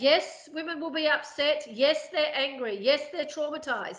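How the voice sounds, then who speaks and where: High pitch from a woman at a moderate pace, with ordinary pitch variation. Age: 50s. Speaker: prison abolition advocate, charity CEO. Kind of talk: interview. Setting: podcast recording.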